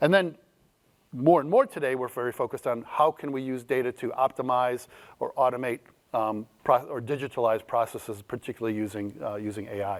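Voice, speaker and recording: Ordinary rises and falls in pitch from a man talking at a fairly quick pace. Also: medium pitch for a man. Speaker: keynote speaker, data strategy consultant and author. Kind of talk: keynote talk. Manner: fast.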